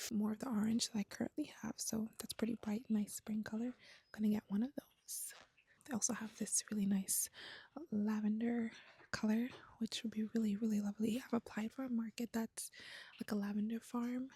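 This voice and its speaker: A woman talks fairly quickly in a dark, mellow, somewhat breathy tone at a fairly high pitch with monotone, flat intonation, recorded with a dry, close sound with no echo. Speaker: crochet vlogger. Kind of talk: casual vlog. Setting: yarn shop.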